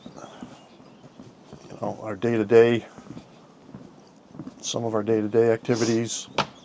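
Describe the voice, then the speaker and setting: A man talks at a fairly slow pace and medium pitch. Noticeable background noise runs underneath. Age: 60s. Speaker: retired vlogger. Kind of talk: casual chat. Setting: outdoors.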